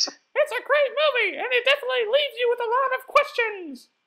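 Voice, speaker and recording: A put-on character voice pitched extremely high. It moves at a fairly quick pace. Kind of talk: improvised comedy sketch, talk show host.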